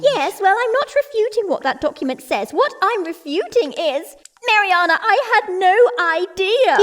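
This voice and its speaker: This is a put-on character voice that sounds female, with an extremely high pitch. The pace is moderate. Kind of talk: comic aristocratic drawl. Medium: audio drama. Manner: haughty, clipped.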